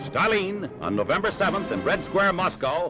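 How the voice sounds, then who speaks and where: Over music in the background, a man with an American accent uses a raised, projected voice at high pitch with a dramatic tone. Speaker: newsreel commentator. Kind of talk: newsreel narration. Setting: 1940s archival recording. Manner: dramatic, rousing.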